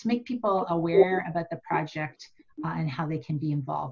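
Against a quiet background, a woman with an ordinary speaking voice talks at a fairly quick pace and a fairly low pitch. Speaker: meeting facilitator presenting slides. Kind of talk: meeting presentation. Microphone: video call.

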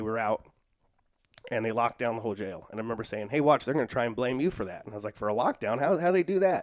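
A man talks at a very fast pace with lively intonation. The sound is dry with no echo, over a quiet background. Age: 40s. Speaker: social worker and jiu-jitsu practitioner; podcast guest. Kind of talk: casual interview chat; interview answer. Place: home room. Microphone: headset.

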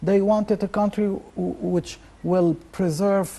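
A man's moderately paced speech with ordinary pitch variation. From Egypt. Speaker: professor of geopolitics. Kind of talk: TV interview. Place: studio. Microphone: lapel.

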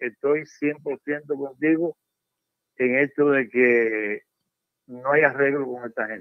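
A fairly high-pitched man at a very slow pace, with fairly even intonation, a quiet background and a dry sound with no echo. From Cuba. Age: 70s. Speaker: caller; host of history channel. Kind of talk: phone-in call. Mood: serious, pensive. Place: studio.

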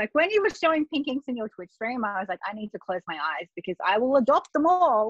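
A woman with an Australian accent speaks in a high voice with very wide pitch swings against a quiet background. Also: dry sound with no echo. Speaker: journaling artist. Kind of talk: casual interview chat. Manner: animated, laughs often. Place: home room. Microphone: video call.

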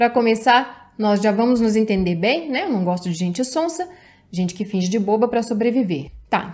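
Her voice somewhat breathy and dark and mellow in tone, a woman speaks with lively intonation. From Brazil. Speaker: YouTuber giving relationship advice. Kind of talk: advice video reading and commenting on viewer's letter. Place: home room.

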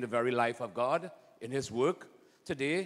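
Pitch varies in an ordinary way for this man. He keeps a moderate pace. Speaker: priest leading Mass. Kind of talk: liturgical greeting and homily-style address. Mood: warm, prayerful. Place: church. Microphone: handheld.

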